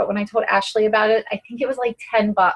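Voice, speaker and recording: A woman speaks in an ordinary speaking voice, fairly high-pitched, with fairly even intonation. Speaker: fitness coach. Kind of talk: team conference call talk.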